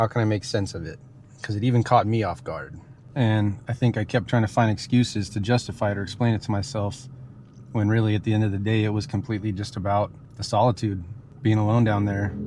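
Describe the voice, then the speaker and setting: Somewhat breathy and dark, mellow in tone, a man's fairly low voice moves at a very fast pace with fairly even intonation. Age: 30s. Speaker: outdoor adventure vlogger. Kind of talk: reflective vlog monologue. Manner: casual, conversational.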